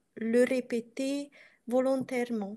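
Against a quiet background, a woman with a Hungarian accent speaks very slowly in a high voice with a dark, mellow tone and fairly even intonation. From Transylvania, Romania (Hungarian community). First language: Hungarian (speaking French). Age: 40s. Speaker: coaching client; coaching client interviewee. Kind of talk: interview; interview answer. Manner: halting. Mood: reflective, personal. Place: home room. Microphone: video call.

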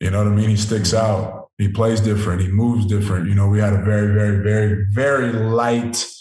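Somewhat breathy speech comes at a moderate pace over a quiet background, with audible room echo. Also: man. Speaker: professional football player; guest. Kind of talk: interview. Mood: calm, reflective. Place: home room. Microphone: video call.

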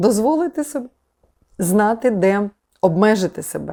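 Heard on a very clean recording with a silent background, a woman with a dark, mellow tone makes very wide pitch swings. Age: 50s. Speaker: yoga teacher. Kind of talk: monologue talk to camera. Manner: conversational, with fillers.

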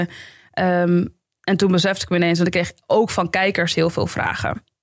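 A woman speaks with a fairly low pitch. The sound is dry with no echo, over a quiet background. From Amsterdam Bijlmer, Netherlands; Netherlands. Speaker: YouTuber and comedian; podcast guest, comedian. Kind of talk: podcast interview. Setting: studio. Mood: earnest, reflective. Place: studio. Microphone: studio mic.

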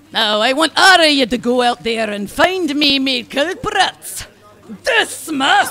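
A put-on character voice, gruff and high-pitched, swings very widely in pitch. It moves at a fairly slow pace. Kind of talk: comic overacting. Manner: bold, rousing, gruff.

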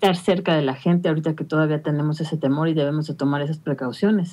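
In a Mexican accent, a woman speaks with a dark, mellow tone at a fairly low pitch. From Mexico. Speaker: radio panelist. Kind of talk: radio panel discussion. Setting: radio studio. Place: home room. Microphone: video call.

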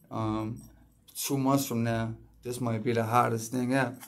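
His intonation stays flat and monotone throughout as the man talks. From Philadelphia, US. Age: 30s. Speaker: rapper and music producer; music producer podcaster. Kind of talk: casual podcast monologue. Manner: halting, many fillers. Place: home room. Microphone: phone near.

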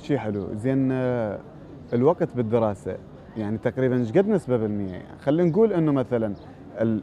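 A man speaks at a moderate pace with a medium pitch and lively intonation. The sound is dry with no echo, and there is light background noise. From Iraq. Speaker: TV show host. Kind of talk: interview. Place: garden.

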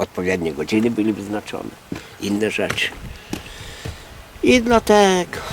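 Background noise can be noticed throughout. The man keeps a moderate pace, with long, frequent pauses. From Podlasie, Poland. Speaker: folk healer (whisperer). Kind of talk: interview answer, folk-wisdom talk.

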